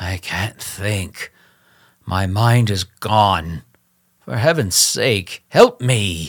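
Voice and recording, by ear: This put-on character voice is raspy and very slow, with ordinary pitch variation, on a very clean recording with a silent background. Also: man, fairly low pitch for a man.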